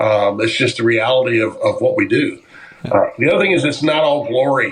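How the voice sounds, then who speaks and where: A man speaks at a fairly quick pace with very even loudness as noticeable background noise runs behind him. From moved around as an Army child, born in Japan. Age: 60s. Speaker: distillery owner. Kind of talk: podcast interview. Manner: frequent filler words and repetitions.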